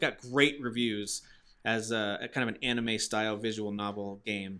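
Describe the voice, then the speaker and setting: This voice belongs to a man. His accent is American, so he speaks with an American accent. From Massachusetts. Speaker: gaming podcast host. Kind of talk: casual chat.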